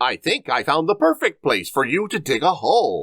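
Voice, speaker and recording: A man performs a put-on character voice at a high pitch with very wide pitch swings. His moderate pace comes through a dry, close sound with no echo. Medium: read story.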